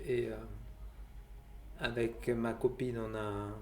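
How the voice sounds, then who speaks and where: Audible room echo surrounds a man's voice. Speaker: vlogger sharing out-of-body experiences. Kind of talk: personal testimony. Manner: slow; halting, many hesitations.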